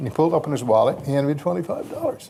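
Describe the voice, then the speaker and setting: This man talks very fast in a fairly high pitch, his dark, mellow tone carrying vocal fry and lively intonation. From US South, Mississippi Delta. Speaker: radio broadcaster. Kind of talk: anecdotal storytelling. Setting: banquet stage with audience.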